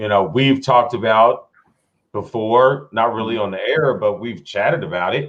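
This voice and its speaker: The speaker is a man at a medium pitch. He talks at a moderate pace with ordinary pitch variation. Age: 40s. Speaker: sports talk show host. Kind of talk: casual chat. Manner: halting, many fillers.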